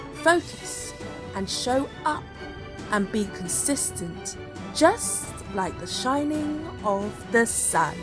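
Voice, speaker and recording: Long, frequent pauses break up a woman's speech. Music plays in the background. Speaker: spoken word poet. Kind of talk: spoken word poetry reading. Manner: inspirational, uplifting.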